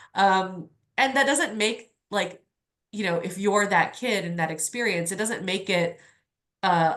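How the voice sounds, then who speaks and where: With an American accent, a woman uses a normal speaking voice at a moderate pace and ordinary pitch variation. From New Orleans, Louisiana (US South). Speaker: novelist. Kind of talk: book discussion Q&A. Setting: video call. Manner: casual, many fillers and restarts.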